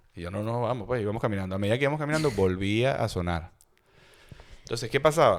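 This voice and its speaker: In a Táchira Venezuelan accent, a man talks in an animated tone with very wide pitch swings. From Venezuela, Táchira state. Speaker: podcast host. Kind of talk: casual chat, storytelling.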